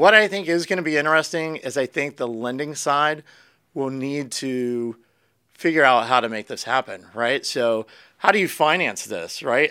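A man with an American accent speaks at a fairly high pitch and a moderate pace, with ordinary pitch variation. His tone is bright and sharp, and the recording is very clean with a silent background. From Florida and Pennsylvania, US. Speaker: real estate agent. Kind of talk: casual interview chat.

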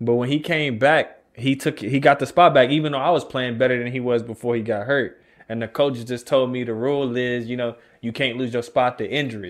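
A man with an American accent and an ordinary speaking voice, at a fairly quick pace with fairly even intonation. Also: medium pitch for a man. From Texas, Austin. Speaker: podcast host, former athlete. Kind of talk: casual chat.

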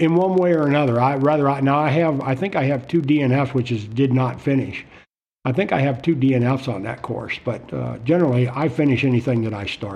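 This is a plain, everyday voice, a man speaking at a medium pitch with an American accent. He goes at a fairly quick pace with ordinary pitch variation. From Florida. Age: 60s. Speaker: retired marine. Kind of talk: casual chat.

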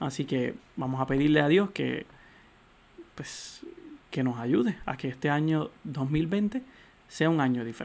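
A man with fairly high pitch and lively intonation speaks at a fairly slow pace, with long, frequent pauses. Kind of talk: solo podcast commentary on religious news.

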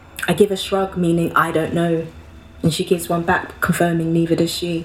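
Over noticeable background noise, a woman speaks in a monotone, flat delivery at a fairly low pitch. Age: 20s. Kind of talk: spoken word poetry performance.

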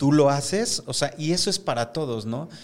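A man with a fairly high pitch and an ordinary speaking voice, at a fairly slow pace, in a very clean recording with a silent background. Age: 50s. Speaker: hair stylist and salon owner. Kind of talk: casual interview. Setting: studio.

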